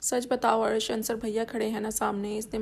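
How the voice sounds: Throughout, the speaker uses a natural reading voice.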